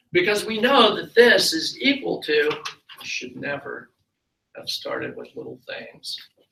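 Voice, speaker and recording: In a room with audible echo, a man speaks at a fairly slow pace, his loudness swinging widely. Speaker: university lecturer. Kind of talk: lecture. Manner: slow, deliberate.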